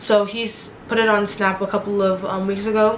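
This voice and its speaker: Noticeable background noise beneath a woman speaking in a medium pitch. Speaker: student vlogger. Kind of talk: casual vlog tutorial. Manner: fast; animated.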